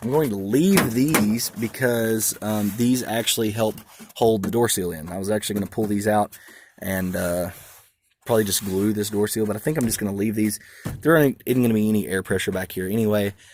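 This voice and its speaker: With an Arkansas accent, a man talks at a fairly quick pace in a fairly low pitch with ordinary pitch variation. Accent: southern US (Arkansas). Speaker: car audio hobbyist. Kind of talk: casual walkaround vlog. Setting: shop / garage, truck walkaround. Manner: fast; hesitant, many fillers.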